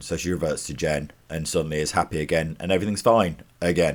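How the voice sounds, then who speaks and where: In a very clean recording with a silent background, a man speaks with a gravelly, very deep voice and ordinary pitch variation. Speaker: artist, graphic novel author. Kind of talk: casual TV episode review.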